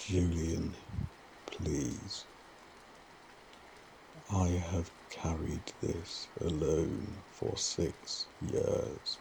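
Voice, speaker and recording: A man speaks very slowly with long, frequent pauses while noticeable background noise plays. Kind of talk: sleep story.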